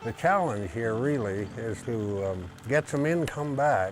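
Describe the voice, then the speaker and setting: Against music in the background, a man of medium pitch speaks with lively intonation. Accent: American. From Idaho. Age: 80s+. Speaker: retired forest ranger. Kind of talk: interview. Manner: halting.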